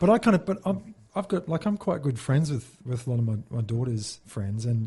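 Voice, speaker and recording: A man's somewhat breathy, dark and mellow voice at a medium pitch moves at a fairly quick pace with very wide pitch swings. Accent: Australian. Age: 40s. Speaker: former Olympic sprinter turned musician. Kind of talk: casual chat.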